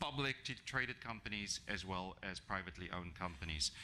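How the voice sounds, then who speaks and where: A man with a non-native accent speaks at a moderate pace. His tone is bright and sharp, his intonation lively. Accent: non-native foreign. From South Africa. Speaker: HR executive, guest speaker. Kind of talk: business presentation. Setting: breakfast event talk to live audience. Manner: hesitant, many fillers.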